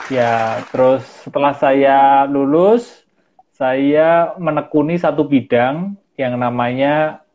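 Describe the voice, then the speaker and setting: A man speaks at a very slow pace in a calm tone. His pitch sits fairly high, with ordinary variation. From Central Java, Solo. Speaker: mindfulness practitioner. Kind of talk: interview. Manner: halting.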